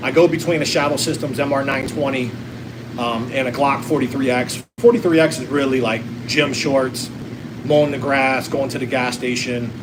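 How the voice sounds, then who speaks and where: Amid noticeable background noise and audible room echo, a man speaks at a moderate pace with fairly even intonation. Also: medium pitch for a man. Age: 40s. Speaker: gun enthusiast livestreamer. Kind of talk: casual livestream Q&A. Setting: hot tub. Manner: relaxed, hesitant with many fillers.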